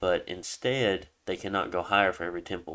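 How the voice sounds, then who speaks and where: On a very clean recording with a silent background, a man with a very deep, low pitch speaks at a fairly quick pace. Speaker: gaming video creator. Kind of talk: gameplay tutorial. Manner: casual, thinking aloud.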